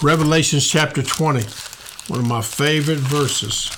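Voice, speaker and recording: Background noise is noticeable as a man speaks in a room with audible echo. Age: 60s. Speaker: pastor and podcast host. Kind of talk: sermon. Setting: studio. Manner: animated.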